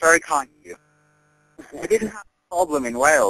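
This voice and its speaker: A bright, sharp tone with ordinary pitch variation and a dry, close sound with no echo. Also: man. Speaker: prank caller. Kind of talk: prank phone call. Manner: halting, stammering.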